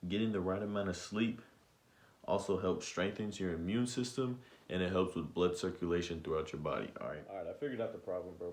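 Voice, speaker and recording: Fairly quick speech with ordinary pitch variation and audible room echo. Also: man. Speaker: vlogger giving self-improvement tips. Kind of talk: casual vlog monologue. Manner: fast.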